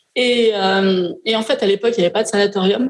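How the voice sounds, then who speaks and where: Delivered at a fairly quick pace with ordinary pitch variation, this is an ordinary speaking voice. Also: woman. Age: 60s. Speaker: novelist. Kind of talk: interview. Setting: live event in hotel hall.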